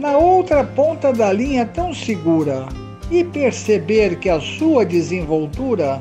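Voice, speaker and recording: Music behind a man speaking very slowly. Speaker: poet. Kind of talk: poetry reading.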